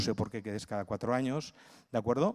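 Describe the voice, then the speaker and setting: A man speaks in a dark, mellow tone. The background is quiet. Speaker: cultural management consultant and lecturer; conference speaker. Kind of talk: conference talk. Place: hall. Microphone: handheld.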